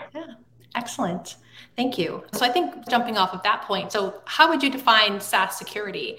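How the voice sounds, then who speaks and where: Speaking with lively intonation at a moderate pace, a woman's fairly high voice is heard against noticeable background noise. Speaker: podcast co-host. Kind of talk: podcast interview.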